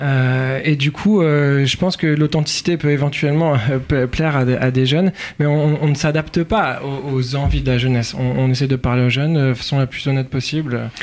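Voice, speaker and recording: Noticeable background noise sits behind a man with a fairly high pitch. He keeps a moderate pace, fairly even intonation, and very even loudness. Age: 30s. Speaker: rabbinical student. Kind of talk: radio interview.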